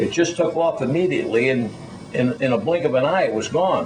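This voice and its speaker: A man talks with lively intonation. Noticeable background noise and audible room echo surround him. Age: 70s. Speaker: UFO witness. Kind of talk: testimony. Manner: halting.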